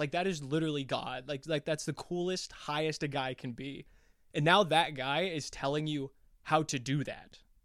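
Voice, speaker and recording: A man with a normal speaking voice, fairly high in pitch, speaks at a moderate pace with ordinary pitch variation. The recording is very clean, with a silent background. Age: 20s. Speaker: podcast co-host. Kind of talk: casual chat.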